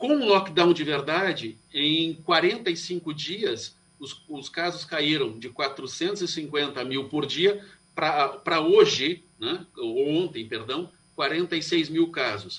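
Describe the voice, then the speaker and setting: A man speaks very slowly at a fairly high pitch, with ordinary pitch variation. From Brazil, Curitiba. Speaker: Ayurvedic doctor. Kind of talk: radio interview.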